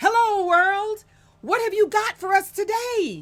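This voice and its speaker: A woman puts on a loud, squeaky character voice at an extremely high pitch. She talks at a fairly slow pace. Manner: cheerful, booming.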